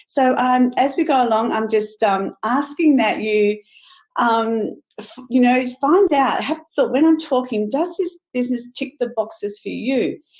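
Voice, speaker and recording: Lively in intonation, a woman with an Australian accent speaks fairly slowly at a high pitch. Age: 60s. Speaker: network marketing distributor. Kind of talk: sales pitch webinar. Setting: webinar.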